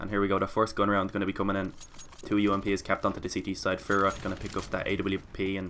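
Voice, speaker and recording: A man with a fairly low pitch, a bright, sharp tone and monotone, flat intonation. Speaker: esports caster. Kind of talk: live commentary. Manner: fast.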